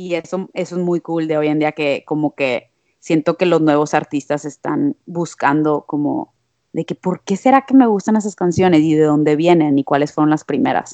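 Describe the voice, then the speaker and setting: A woman speaks with a very deep, low pitch. Her dark, mellow tone sounds dry and close with no echo. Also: ordinary pitch variation, moderate pace. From Monterrey, Mexico. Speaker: musician. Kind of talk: casual chat.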